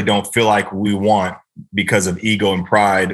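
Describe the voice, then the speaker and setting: This is an ordinary speaking voice. The speaker has an American accent. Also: man. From US West Coast. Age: 30s. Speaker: NFL long snapper. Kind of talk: casual interview chat. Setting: podcast interview. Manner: fast, many fillers.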